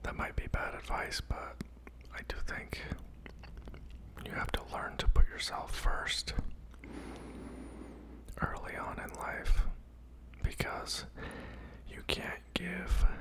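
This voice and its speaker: Someone whispers very slowly, leaving long, frequent pauses, while noticeable background noise carries on. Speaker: ASMR content creator doing a mukbang. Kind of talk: casual talk to camera, ranting opinion commentary. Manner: whispered, soft.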